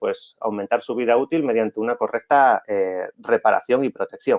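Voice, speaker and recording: A man at a moderate pace. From Asturias, northern Spain. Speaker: technical director and course instructor. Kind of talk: online technical lecture. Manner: hesitant, many fillers.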